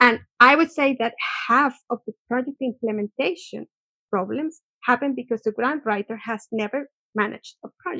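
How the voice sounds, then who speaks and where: A woman's high-pitched voice, bright and sharp in tone, with dry, close sound and no echo, ordinary pitch variation, and a moderate pace. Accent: Spanish. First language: Spanish. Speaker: research organisation director. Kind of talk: interview conversation. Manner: halting, repeats words.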